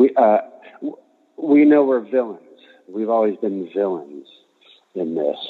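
Fairly low-pitched man with an American accent, lively intonation, a fairly slow pace and long, frequent pauses. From Aberdeen, Washington, US Pacific Northwest. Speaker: rock drummer. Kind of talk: casual interview chat. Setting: phone call. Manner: halting, many fillers and repeats.

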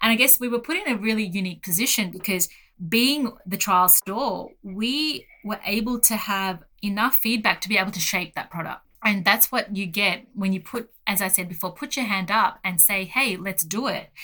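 Speaking in an Australian accent, a woman has a bright, sharp tone at a medium pitch. Her pace is moderate and her pitch varies in an ordinary way. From Australia, rural Gippsland, Victoria. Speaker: pharmacist. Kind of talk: interview.

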